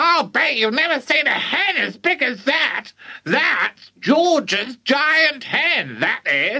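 At a very slow pace, the speaker uses a high-pitched, put-on character voice. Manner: boastful, cackling, bossy.

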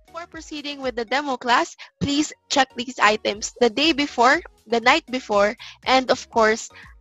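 A woman at a high pitch with ordinary pitch variation and big swings in loudness, dry sound with no echo, faint music in the background. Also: moderate pace. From Philippines. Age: young. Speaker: online English tutor. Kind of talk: casual talk to camera. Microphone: headset.

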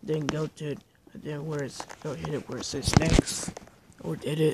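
Very slow and monotone, with flat intonation, a man speaks at a fairly high pitch over noticeable background noise. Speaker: music app tutorial maker. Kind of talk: casual screen-recording tutorial. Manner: hesitant, repetitive.

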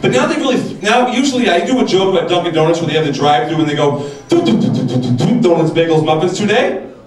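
A man's very fast, lively-toned speech, with music in the background and audible room echo. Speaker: stand-up comedian. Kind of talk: stand-up comedy routine. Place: stage. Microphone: handheld.

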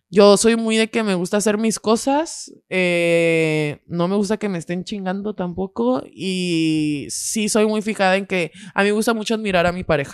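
Speaking at a fairly slow pace, a woman uses ordinary pitch variation. The sound is dry with no echo, and the background is quiet. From Mexico. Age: 20s. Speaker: podcaster. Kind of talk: casual chat. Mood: animated, laughing storytelling. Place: studio. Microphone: studio mic.

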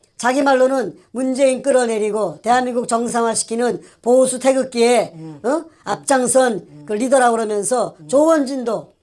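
A woman's voice shows ordinary pitch variation and big swings in loudness. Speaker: co-host. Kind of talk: political commentary. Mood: indignant, accusatory. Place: studio.

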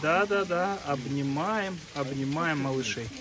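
Against clear background noise, a man talks at a fairly slow pace and a fairly high pitch with ordinary pitch variation.

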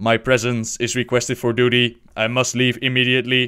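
A man puts on a character voice at a medium pitch. He talks at a fairly quick pace with monotone, flat intonation.

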